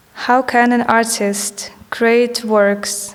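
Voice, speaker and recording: A woman with a fairly high pitch speaks in a flat monotone, with audible room echo and noticeable background noise. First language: not English. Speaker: artist. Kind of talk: reading aloud. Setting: stage with audience.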